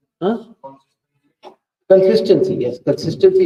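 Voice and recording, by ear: A man with a high pitch and a dark, mellow tone carrying a slightly husky edge speaks at a moderate pace with ordinary pitch variation.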